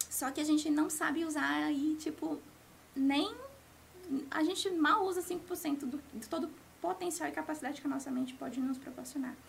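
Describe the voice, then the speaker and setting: With a high pitch, a woman speaks at a moderate pace with ordinary pitch variation. She leaves long, frequent pauses. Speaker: life coach. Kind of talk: interview.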